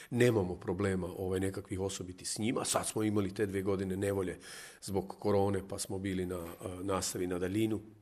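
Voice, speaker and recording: A man with a Zagreb accent, fairly low in pitch, monotone and flat, at a very fast pace. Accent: Zagorje kajkavian-tinged Zagreb Croatian. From Croatia, Hrvatsko zagorje (near Lobor, Golubovec). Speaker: communication scientist. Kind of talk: radio interview chat.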